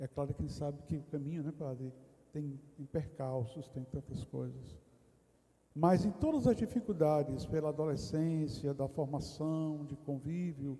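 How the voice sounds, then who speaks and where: Somewhat breathy, a man with a fairly high pitch and a dark, mellow tone speaks at a fairly slow pace with ordinary pitch variation. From Brazil, interior of Rio Grande do Norte (Northeast). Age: 60s. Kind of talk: testimony. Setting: retreat round-table discussion in a parish.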